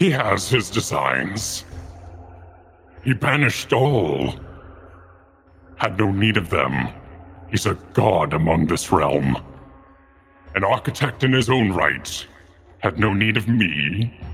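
A man uses a put-on character voice, fairly low in pitch with very wide swings, keeping a very even loudness at a fairly slow pace with long, frequent pauses while faint music plays behind him. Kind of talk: ancient undead oracle. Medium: actual play. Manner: solemn, archaic.

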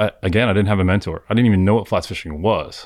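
A man with an American accent talks very fast at a very deep, low pitch and with fairly even intonation, in a very clean recording with a silent background. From South Florida, Miami. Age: 40s. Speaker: fishing guide. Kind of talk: casual chat.

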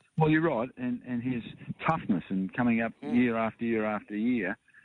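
Using ordinary pitch variation, a man with an Australian accent speaks at a moderate pace. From Springvale, Victoria, Australia. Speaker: racehorse part-owner. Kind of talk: interview.

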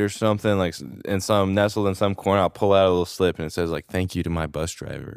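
On a very clean recording with a silent background, a man in an ordinary speaking voice talks at a fairly low pitch and a fairly quick pace, with ordinary pitch variation and a dry, close sound with no echo. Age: 20s. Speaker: content creator. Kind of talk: casual chat.

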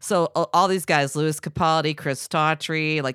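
In a very clean recording with a silent background, a woman speaks at a moderate pace with a low pitch, a clear, smooth and fairly bright tone, and fairly even intonation.

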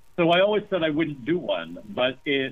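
A man with an American accent, his pitch swinging very widely. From US, rural small town. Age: 50s. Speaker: novelist. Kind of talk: interview.

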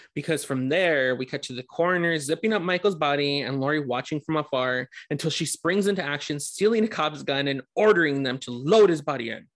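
A man with a plain, everyday voice talks at a fairly quick pace, hardly pausing. His pitch sits fairly high and varies in an ordinary way. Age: 30s. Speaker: podcast co-host. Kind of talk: casual chat.

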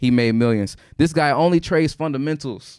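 A normal speaking voice from a man at a fairly quick pace, in a very clean recording with a silent background. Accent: American. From Houston, Texas. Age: 30s. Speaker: forex trader. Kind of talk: casual interview. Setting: studio.

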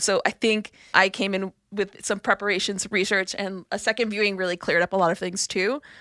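On a very clean, dry, close recording with a silent background and no echo, a woman with an American accent speaks at a fairly quick pace and medium pitch, bright and sharp in tone, monotone and flat, with hardly any pauses. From New York, Brooklyn. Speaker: podcast producer. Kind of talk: casual chat.

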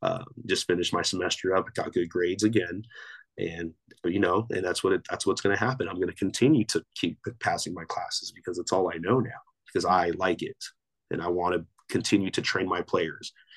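A man talks at a fairly quick pace with a Southern California accent. The sound is dry and close, with no echo. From Torrance, Los Angeles area. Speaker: basketball coach and grad student. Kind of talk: casual interview.

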